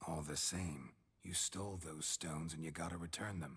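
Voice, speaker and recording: A man's put-on character voice, very deep and low in pitch, at a moderate pace. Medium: video game. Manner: dry, laconic.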